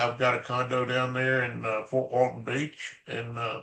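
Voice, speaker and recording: A man speaks with a Southern US accent. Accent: Southern US (Georgia). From US South, Atlanta, Georgia. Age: 70s. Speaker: retired business founder. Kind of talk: casual interview.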